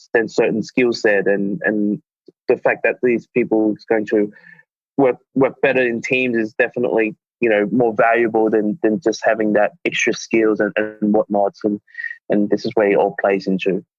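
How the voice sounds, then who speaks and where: Over background music, a man talks at a moderate pace in a medium pitch with fairly even intonation. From Hong Kong. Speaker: recruiter and former badminton player. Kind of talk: podcast interview. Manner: halting, many fillers and repetitions.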